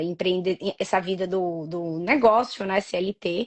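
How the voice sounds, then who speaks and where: At a fairly slow pace, a woman with a strong Bahian accent speaks at medium pitch with fairly even intonation. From Bahia, Brazil (Salvador). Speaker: entrepreneur. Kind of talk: interview.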